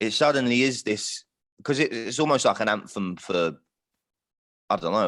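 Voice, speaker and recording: Recorded very cleanly against a silent background, a man speaks with lively intonation. His pace is fairly quick. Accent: London. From London, north London. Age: 20s. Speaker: singer-songwriter. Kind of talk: casual chat.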